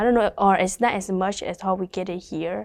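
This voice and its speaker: Speaking with a Burmese accent, a woman at a medium pitch is heard on a very clean recording against a silent background. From Thailand refugee camp, Karen ethnic. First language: Karen. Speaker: community worker with refugee families. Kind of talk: interview testimony. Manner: halting, with many fillers.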